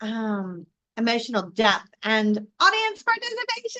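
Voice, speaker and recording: A woman projects a raised voice with a bright, sharp tone. She keeps a moderate pace. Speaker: live show host and communication coach. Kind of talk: live stream teaching talk. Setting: live stream. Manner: loud.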